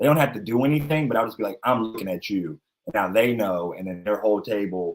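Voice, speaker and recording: A man with an American accent talks at a very fast pace in a fairly low pitch. His intonation is lively. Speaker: comedian. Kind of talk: casual chat. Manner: loud.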